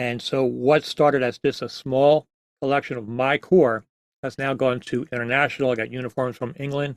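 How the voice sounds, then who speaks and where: A normal speaking voice from a man with an American accent, medium pitch, fairly even intonation, and a moderate pace, in a dry, close sound with no echo. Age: 60s. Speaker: museum founder and drum corps veteran. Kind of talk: interview.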